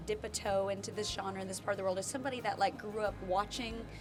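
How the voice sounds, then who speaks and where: With music in the background, a woman in a Tennessee accent talks at a very fast pace. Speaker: bluegrass musician. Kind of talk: red carpet interview. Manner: polite-sounding.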